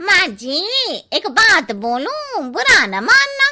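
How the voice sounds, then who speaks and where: Using a cartoonish character voice, a woman speaks at a very slow pace in an extremely high pitch with very wide pitch swings. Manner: blunt, cheeky.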